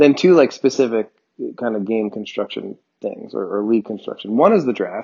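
Speaking very fast, a man with an American accent uses a medium-pitched voice. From New Jersey. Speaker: sports podcast host. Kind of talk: casual chat. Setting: home recording, separate tracks.

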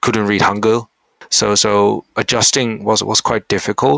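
A man speaks with a Dutch accent and a fairly low pitch. His intonation stays fairly even. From Netherlands, partly raised in Korea. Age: 20s. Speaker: university student and researcher. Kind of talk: interview. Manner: halting, with frequent repetitions and fillers.

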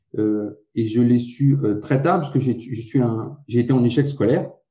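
A man speaks at a medium pitch with ordinary pitch variation. His voice is somewhat breathy, with a dark, mellow tone. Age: 40s. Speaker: keto diet website co-founder. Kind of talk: interview.

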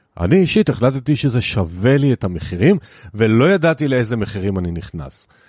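In a very clean recording with a silent background, a man with a medium pitch speaks with very wide pitch swings. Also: moderate pace. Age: 60s. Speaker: financial podcast host and consultant. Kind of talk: solo monologue.

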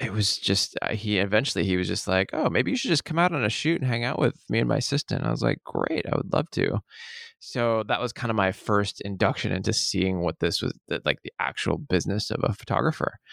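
Speaking at a fairly quick pace, a man with a fairly low pitch shows lively intonation and vocal fry in a very clean recording with a silent background. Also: dry, close sound with no echo. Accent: American. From US Northwest, Seattle. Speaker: photographer. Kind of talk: interview.

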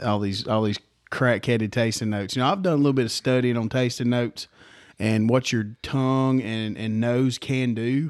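A man in a Southern US accent, ordinary pitch variation, very clean recording and silent background. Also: medium pitch for a man, moderate pace. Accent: Southern US (Georgia). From Georgia, US South. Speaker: podcast co-host. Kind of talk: casual chat. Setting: his own home.

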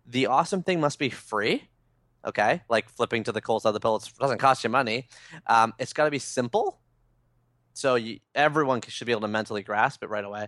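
In an unremarkable speaking voice, a man at a medium pitch talks at a fairly quick pace with ordinary pitch variation, the sound dry and close with no echo against a quiet background. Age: 30s. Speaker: blogger and author. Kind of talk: interview.

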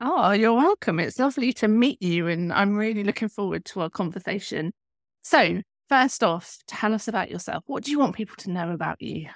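A woman talks in a plain, everyday voice at medium pitch, with lively intonation and a fairly quick pace. The sound is dry and close with no echo, a very clean recording with a silent background. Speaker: podcast host. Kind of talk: casual interview chat.

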